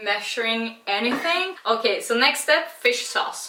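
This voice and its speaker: A woman with a Swedish accent at a fairly high pitch, very slow in pace and lively in intonation, with noticeable background noise. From Sweden. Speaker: beer and cooking vlogger. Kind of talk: casual vlog tutorial and tasting. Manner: casual, chatty.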